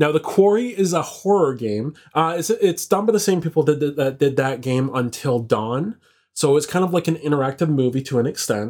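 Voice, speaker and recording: With an ordinary speaking voice, a man talks at a fairly quick pace, his fairly high pitch carrying lively intonation over a very clean recording with a silent background. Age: 30s. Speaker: podcast co-host and producer. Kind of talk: casual chat.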